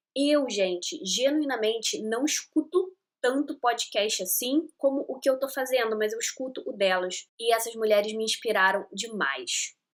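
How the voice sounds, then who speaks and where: Speaking at a fairly slow pace with hardly any pauses, a woman uses a high pitch and lively intonation. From Rio de Janeiro, Brazil. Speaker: podcast host. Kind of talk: casual podcast monologue. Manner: chatty, enthusiastic.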